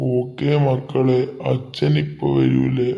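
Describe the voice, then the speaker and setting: A man at medium pitch does a cartoonish character voice. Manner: gentle, patient.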